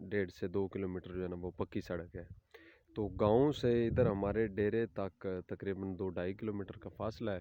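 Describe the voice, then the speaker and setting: A man with a Punjabi accent, fairly low pitch and fairly even intonation. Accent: Punjabi-accented Urdu. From Punjab, Pakistan. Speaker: village farmer vlogger. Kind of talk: casual talk to camera. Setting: outdoors.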